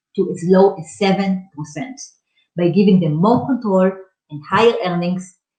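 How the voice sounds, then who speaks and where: Somewhat breathy, a woman talks at a moderate pace in a medium pitch with ordinary pitch variation. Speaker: startup founder pitching company. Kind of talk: startup pitch presentation.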